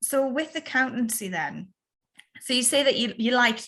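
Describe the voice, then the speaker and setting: A woman with a North East England accent. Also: quiet background. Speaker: podcast host. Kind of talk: podcast interview.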